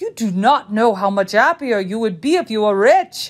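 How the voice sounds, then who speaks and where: Putting on a gruff character voice, a woman speaks at a fairly high pitch and a moderate pace. Her intonation is lively. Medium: read story. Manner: gruff, insistent.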